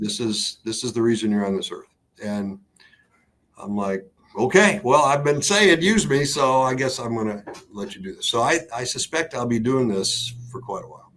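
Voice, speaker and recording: Moving at a moderate pace, a man speaks with very wide pitch swings and big swings in loudness. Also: medium pitch for a man. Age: 60s. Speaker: radio host and marriage therapist. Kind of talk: interview. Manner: casual, halting with fillers.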